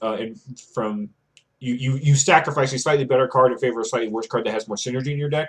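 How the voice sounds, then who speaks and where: Pitch variation is ordinary. The voice belongs to a man. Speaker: Magic card game content creator. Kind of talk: gameplay commentary tutorial. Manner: fast.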